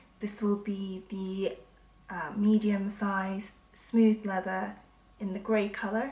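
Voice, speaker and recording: A woman speaks at a medium pitch and a very slow pace. Her intonation is monotone and flat. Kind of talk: product review to camera. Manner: hesitant, with pauses.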